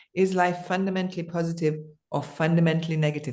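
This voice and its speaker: Fairly even intonation in an ordinary speaking voice. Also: woman. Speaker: dance improvisation artist and teacher, cancer survivor. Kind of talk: interview answer, personal reflective talk. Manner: thoughtful, conversational.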